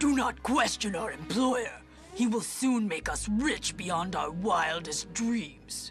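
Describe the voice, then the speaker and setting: Over clear background music, a woman puts on a character voice at a medium pitch, talking at a fairly slow pace. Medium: machinima. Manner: formal, theatrical villain diction.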